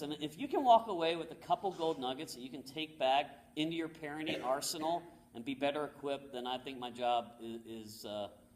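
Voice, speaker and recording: This man speaks with a fairly high pitch and lively intonation. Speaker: motivational speaker. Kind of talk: talk to an audience. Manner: fast.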